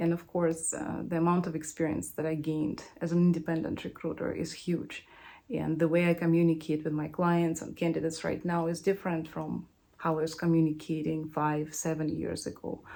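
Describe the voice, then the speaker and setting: Someone speaks at a fairly quick pace with a non-native accent. The intonation stays flat and monotone, over a dark, mellow tone. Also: woman, very deep, low pitch for a woman. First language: not English. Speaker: recruiter. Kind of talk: casual chat.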